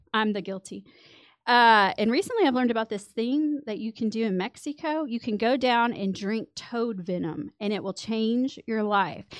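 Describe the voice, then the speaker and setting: A woman at a fairly high pitch and a moderate pace. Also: ordinary pitch variation. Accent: Texan. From West Texas. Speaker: podcast guest. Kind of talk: casual chat. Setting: studio.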